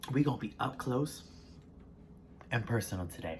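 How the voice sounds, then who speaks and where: A man speaks with an American accent in a somewhat breathy voice. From US South. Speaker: mukbang creator. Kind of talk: casual talk to camera while eating.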